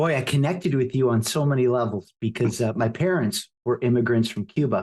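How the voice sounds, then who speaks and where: At a fairly quick pace, a man with a medium pitch and ordinary pitch variation sounds somewhat breathy, keeping his loudness very even. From United States, Cuban immigrant family. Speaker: podcast host. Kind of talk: podcast interview.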